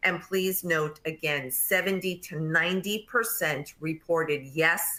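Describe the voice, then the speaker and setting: In a strong New York accent, a woman speaks with a bright, sharp tone, a fairly low pitch and ordinary pitch variation. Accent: thick New York. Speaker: nurse practitioner and nursing educator. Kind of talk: webinar presentation.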